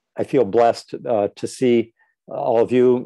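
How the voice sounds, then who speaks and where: The speaker talks at a fairly slow pace with an American accent. The tone is dark and mellow, and the sound is dry and close with no echo. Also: man. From United States. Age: 70s. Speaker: scholar and lecturer. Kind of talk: farewell remarks in an online talk. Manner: halting, many fillers.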